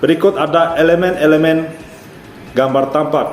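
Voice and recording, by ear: With audible room echo, a man speaks at a moderate pace in a fairly high, slightly mellow voice, his intonation fairly even.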